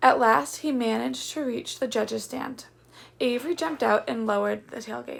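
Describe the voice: What you hear is plain reading aloud.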